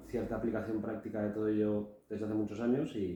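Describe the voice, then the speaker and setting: A man at a medium pitch and a very fast pace, over noticeable background noise. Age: 40s. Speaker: businessman, podcast guest. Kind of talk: casual podcast conversation.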